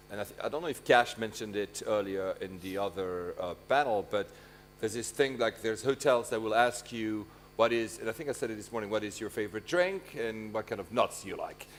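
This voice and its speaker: Speaking at a fairly quick pace, a man talks in a French accent. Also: medium pitch for a man, ordinary pitch variation. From Switzerland, French-speaking. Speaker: conference moderator. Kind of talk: panel interview.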